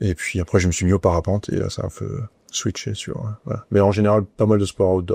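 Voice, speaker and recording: A man speaks in a fairly low, somewhat breathy voice with a dark, mellow tone and fairly even intonation. The sound is dry and close with no echo, on a very clean recording with a silent background. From southern France, Nice. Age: 50s. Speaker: company president. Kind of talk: interview. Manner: hesitant, many fillers.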